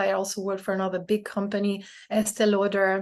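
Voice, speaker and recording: A woman with a non-native accent, medium pitch and a fairly quick pace, over a quiet background. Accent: foreign accent in English. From Brazil, France and the Netherlands. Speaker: DEI strategist and self-published author. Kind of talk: podcast interview.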